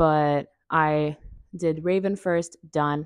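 A woman with a very deep, low pitch speaks in a dry sound with no echo over a quiet background. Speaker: vlogger. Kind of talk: casual vlog chat. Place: home room.

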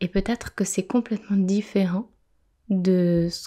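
A woman's dark, mellow voice, very slow in pace and monotone, flat in intonation. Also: very clean recording, silent background. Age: adult, mother. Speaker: podcast host, personal development. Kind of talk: reflective monologue.

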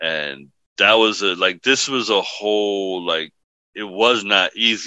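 Speaking very slowly with a New York accent, a man uses a fairly low pitch and a bright, sharp tone against a quiet background. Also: ordinary pitch variation. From The Bronx, New York. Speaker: imam. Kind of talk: podcast interview answer, storytelling. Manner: casual.

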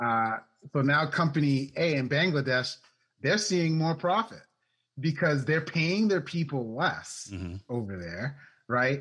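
Against a quiet background, a man with an American accent uses lively intonation at a fairly slow pace, with long, frequent pauses. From US Northeast, Maine. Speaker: remote work consultant; interview guest. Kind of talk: interview conversation. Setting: remote call. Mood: friendly, animated. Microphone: video call.

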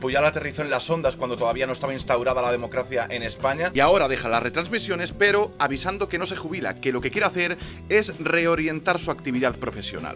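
Over clear music in the background, a man talks at a very fast pace with hardly any pauses. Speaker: sports vlogger. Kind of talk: news commentary vlog. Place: home room.

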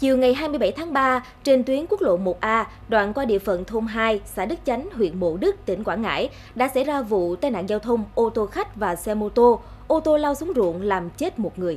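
Music plays in the background as a woman speaks at a moderate pace. Her pitch is fairly high. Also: lively intonation. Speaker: news presenter. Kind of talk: news reading. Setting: studio.

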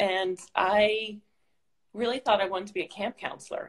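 Against a quiet background, a woman with an American accent speaks with fairly even intonation. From Pittsburgh, Pennsylvania. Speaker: national park service director; interview guest. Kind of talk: casual interview chat. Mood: reflective, warm. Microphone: phone near.

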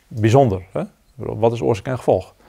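A man's dark, mellow voice with lively intonation over a quiet background. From Netherlands. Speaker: zen teacher. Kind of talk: dharma talk. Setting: meditation retreat with audience. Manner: halting. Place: hall.

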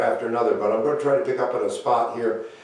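Strong room echo surrounds a man's dark, mellow voice at medium pitch. His pitch variation is ordinary.

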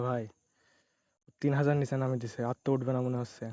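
Soft-spoken and monotone, a man talks at a medium pitch with flat intonation. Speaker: gambling game streamer. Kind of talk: live gameplay commentary. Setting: at home at night, neighbours nearby. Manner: soft-spoken, speaks quietly.

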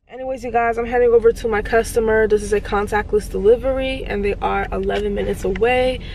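Light background noise sits behind a woman talking at a fairly quick pace. Her intonation is monotone and flat, and the sound is dry with no echo. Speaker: delivery driver vlogger. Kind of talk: casual vlog chat. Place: car.

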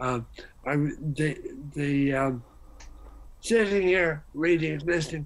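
Speaking at a slow pace, the man has a fairly high pitch. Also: ordinary pitch variation.

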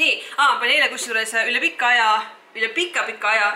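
A woman's raised, projected voice with audible room echo. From Estonia, Viljandi; Estonia. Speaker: fitness vlogger. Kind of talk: vlog. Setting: outdoors. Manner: animated. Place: home room. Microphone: phone near.

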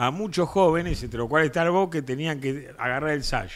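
The man keeps a moderate pace, and his pitch varies in an ordinary way. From Argentina. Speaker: political commentator; talk show panelist. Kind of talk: casual chat. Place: studio. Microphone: studio mic.

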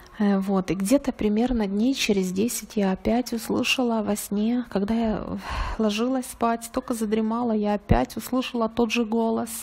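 A woman with an ordinary speaking voice talks fairly slowly at a fairly high pitch, keeping her intonation fairly even. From Ukraine. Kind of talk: testimony. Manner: earnest.

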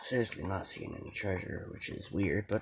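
A man speaks with a very deep, low pitch. His voice is somewhat breathy, and his pace is moderate. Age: 20s. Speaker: gaming YouTuber. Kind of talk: gameplay commentary. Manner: casual with many fillers.

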